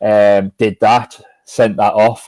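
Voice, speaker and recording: In a dry, close sound with no echo, a man speaks with a fairly low pitch and a dark, mellow tone. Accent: Sunderland. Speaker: football journalist. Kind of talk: casual interview chat. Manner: hesitant, many fillers and repeats.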